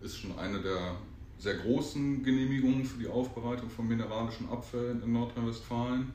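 There is audible room echo as a man talks at a fairly quick pace in a medium pitch. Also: fairly even intonation. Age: 30s. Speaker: recycling company operations manager. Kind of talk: casual interview. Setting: on location at a company site.

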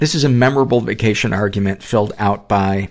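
This man has a normal speaking voice. His pitch is fairly low. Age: 50s. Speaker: podcast host. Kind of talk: casual interview.

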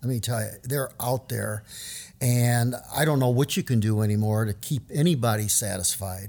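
An unremarkable speaking voice comes at a moderate pace with ordinary pitch variation on a very clean recording with a silent background. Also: man, medium pitch for a man. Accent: American. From US South, New Orleans. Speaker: retiring school district educator. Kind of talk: casual interview.

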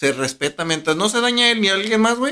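A man talks at a very fast pace with lively intonation. His tone is bright and sharp. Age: 30s. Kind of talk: casual chat.

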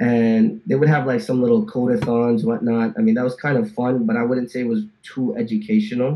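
Hardly pausing, a man with a New Jersey accent talks at a fairly quick pace with ordinary pitch variation. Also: medium pitch for a man. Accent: New Jersey American. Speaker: software engineer. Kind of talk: casual interview chat.

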